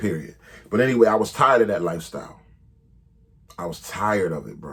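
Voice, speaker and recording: Speaking at a very fast pace, a man with a fairly low pitch uses lively intonation and big swings in loudness. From Philadelphia, Southwest Philly. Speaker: rapper telling his life story. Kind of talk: storytelling monologue. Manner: casual, filler-heavy.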